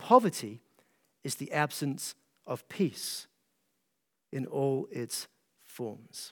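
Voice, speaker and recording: A man with a Scottish accent speaks at a very slow pace, leaving long, frequent pauses, his fairly high voice moving with lively intonation and big swings in loudness. The recording is very clean, with a silent background. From Scotland, east coast small town. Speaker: pastor. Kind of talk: conference talk to pastors. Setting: stage with audience.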